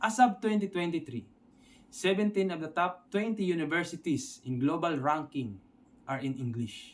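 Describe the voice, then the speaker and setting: With a Filipino accent, a man talks at a moderate pace in a high pitch that swings very widely. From Philippines. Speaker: online English teacher. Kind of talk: tutorial.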